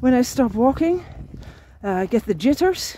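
A woman talks at a moderate pace in a dry sound with no echo. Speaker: long-distance pilgrim vlogger. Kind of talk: casual vlog chat. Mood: reflective, grateful. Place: open country. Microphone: phone near.

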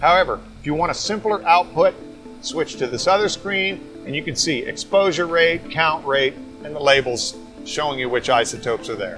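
Clear music is heard in the background. Over it, a man talks at a moderate pace. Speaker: presenter. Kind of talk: product demonstration. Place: workshop.

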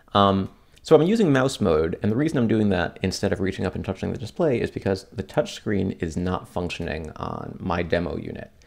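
Against a quiet background, a man with a fairly low pitch and a normal speaking voice talks at a fairly quick pace with lively intonation. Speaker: tech reviewer. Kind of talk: tutorial demo commentary. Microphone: camera far.

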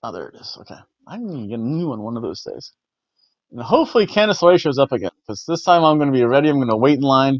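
A man's voice with very wide pitch swings and big swings in loudness, dry with no echo, in a quiet background. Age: 40s. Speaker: wrestling video reviewer. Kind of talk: casual monologue review. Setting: home recording. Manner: rambling, halting. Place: home room. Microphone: lapel.

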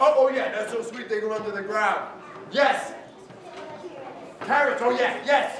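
Over noticeable background noise and audible room echo, a man speaks fairly slowly in an extremely high pitch, with long, frequent pauses. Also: fairly even intonation. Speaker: storyteller. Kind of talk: storytelling with audience participation. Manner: exuberant. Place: hall.

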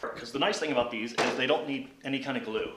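A man's voice with audible room echo. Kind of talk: tutorial. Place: garage. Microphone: camera far.

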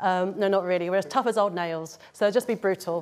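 The woman's voice shows ordinary pitch variation. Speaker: church leader hosting an online service. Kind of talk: church talk introduction. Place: stage.

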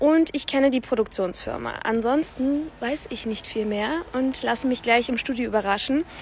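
Light background noise sits under a dry sound with no echo. A woman speaks at a moderate pace in a high pitch, with ordinary pitch variation. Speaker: dubbing voice actress. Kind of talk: casual talk to camera. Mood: cheerful, enthusiastic. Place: street. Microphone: phone near.

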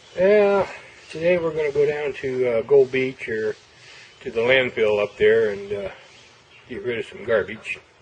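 Over light background noise, a man talks at a moderate pace with very wide pitch swings, big swings in loudness, and long, frequent pauses. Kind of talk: casual vlog chat. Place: street.

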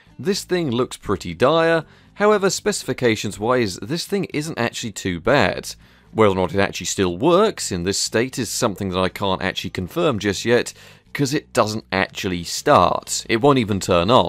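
A man at a moderate pace with very wide pitch swings, dry sound with no echo, and music in the background. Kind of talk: tutorial commentary.

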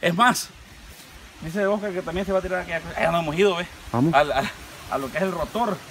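A man's high voice with a Salvadoran accent, ordinary pitch variation, a very fast pace, long and frequent pauses, and light background noise. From El Salvador. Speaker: YouTube vlogger. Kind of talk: casual vlog narration. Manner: animated. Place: garden. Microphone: camera far.

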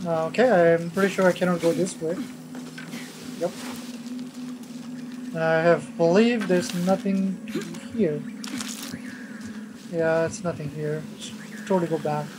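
A woman at fairly low pitch over music in the background, with moderate pace, long, frequent pauses and ordinary pitch variation. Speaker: gamer doing let's play commentary. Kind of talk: casual gameplay commentary. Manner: sometimes mumbles, drops volume.

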